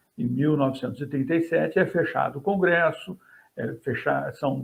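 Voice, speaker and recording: The speech moves at a moderate pace in a plain, everyday voice with ordinary pitch variation. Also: man. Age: 60s. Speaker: history professor. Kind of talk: interview. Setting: at home, video call.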